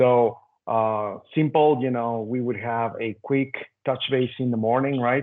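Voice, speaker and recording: A man's medium-pitched voice, fairly even in intonation, unfolds at a fairly slow pace. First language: not English. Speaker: lean leader, panelist. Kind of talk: roundtable discussion.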